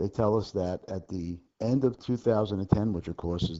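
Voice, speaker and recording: Soft-spoken and fairly low in pitch, a man talks at a moderate pace with lively intonation. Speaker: accounting instructor. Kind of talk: homework tutorial lecture. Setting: low recording level.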